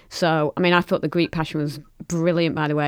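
A woman speaks with a Lancashire accent in a very deep, low pitch, her intonation monotone and flat at a moderate pace. The recording is very clean with a silent background, and the sound is dry and close with no echo. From Lancashire, northern England. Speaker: podcast co-host. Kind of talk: casual chat.

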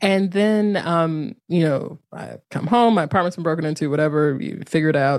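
An unremarkable speaking voice from a woman, fairly low-pitched, with ordinary pitch variation, a moderate pace and an American accent, on a very clean recording with a silent background. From North Carolina. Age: 30s. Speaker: yoga teacher and author. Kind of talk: casual interview.

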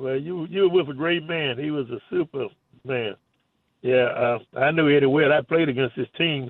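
A man with a Southern US accent, fairly high in pitch, at a moderate pace with ordinary pitch variation. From US South. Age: 80s+. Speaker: caller. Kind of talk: call-in chat. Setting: phone call. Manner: halting.

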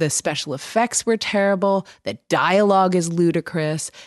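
A woman's normal speaking voice, fairly slow with lively intonation, in a dry, close sound with no echo. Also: quiet background. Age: 40s. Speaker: audiobook narrator and podcast co-host. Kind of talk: casual chat.

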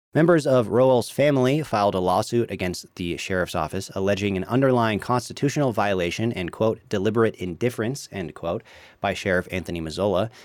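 A man with a medium-pitched voice speaks at a very fast pace with lively intonation, in a very clean recording with a silent background. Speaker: local newspaper newsreader. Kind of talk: news reading. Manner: formal, steady newsreader delivery.

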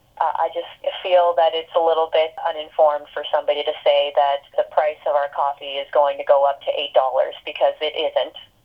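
With hardly any pauses, a woman talks at a fairly quick pace over noticeable background noise. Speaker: barista and worker organizer. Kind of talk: interview. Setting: phone call.

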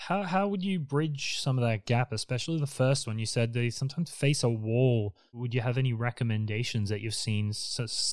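Lively intonation with an Australian accent moves at a moderate pace with hardly any pauses. The recording is very clean, with a silent background and a dry, close sound with no echo. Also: man. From Queensland, Australia. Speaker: podcast host and designer. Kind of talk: interview.

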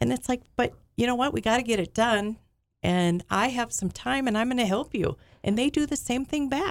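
On a very clean recording with a silent background, a woman with a normal speaking voice talks at a fairly high pitch and a moderate pace, with ordinary pitch variation and very even loudness. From US Midwest, Alexandria, Minnesota. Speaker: business owner. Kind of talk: casual chat.

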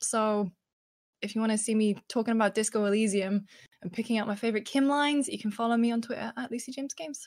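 A woman with a British accent speaks at a very fast pace in a fairly high pitch. Her intonation is fairly even and somewhat breathy. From Britain. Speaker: video game journalist. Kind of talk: casual chat. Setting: live stream.

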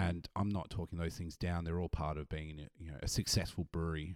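With an Australian accent, a man talks at a fairly quick pace in a very deep, low pitch, on a very clean recording with a silent background and a dry, close sound with no echo.

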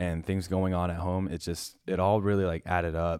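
A man's very deep, low voice with a Canadian accent and fairly even intonation, on a very clean recording with a silent background. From Ontario, Canada (First Nation reserve near Parry Sound). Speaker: YouTube gaming content creator. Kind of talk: casual chat.

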